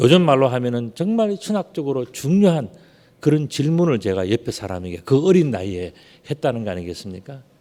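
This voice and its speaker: Moving at a fairly quick pace, a man's medium-pitched voice has a dark, mellow tone and very wide pitch swings. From Gyeongsang region, South Korea. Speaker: pastor. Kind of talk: sermon.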